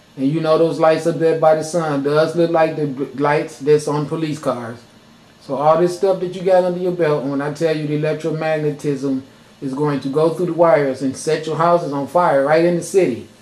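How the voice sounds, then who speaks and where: Against noticeable background noise, a man talks fairly quickly at a fairly high pitch. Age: 50s. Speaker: video blogger. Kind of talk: monologue rant. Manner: animated.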